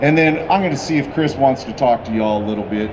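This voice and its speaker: A man speaks with ordinary pitch variation in a room with audible echo and noticeable background noise. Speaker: car builder presenting a custom car. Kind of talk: live presentation at a car show unveil. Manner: loud; animated.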